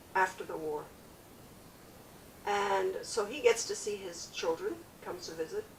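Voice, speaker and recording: At a fairly slow pace, a woman speaks. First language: French. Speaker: family memoir interviewee. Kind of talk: oral history interview. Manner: halting.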